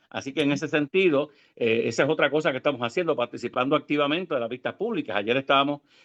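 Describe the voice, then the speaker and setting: A man's fairly high voice at a very fast pace. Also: ordinary pitch variation. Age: 60s. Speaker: government ombudsman. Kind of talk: interview.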